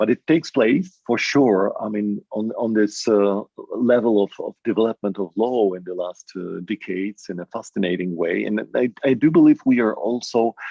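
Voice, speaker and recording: Moderate pace and hardly any pauses from a man with a Polish accent. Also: fairly low pitch for a man, ordinary pitch variation. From Poland. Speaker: academic panelist. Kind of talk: panel discussion. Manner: halting, many repetitions.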